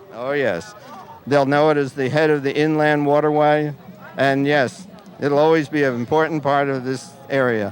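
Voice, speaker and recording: Speaking at a moderate pace over noticeable background noise, a man with an American accent has a fairly high pitch and fairly even intonation. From New Jersey shore, Manasquan. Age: 70s. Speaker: local resident. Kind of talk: street interview.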